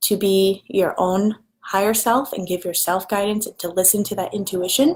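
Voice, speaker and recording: Her pitch medium, a woman speaks at a fairly slow pace. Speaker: spiritual life coach. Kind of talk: live stream rant. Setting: live video stream. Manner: animated.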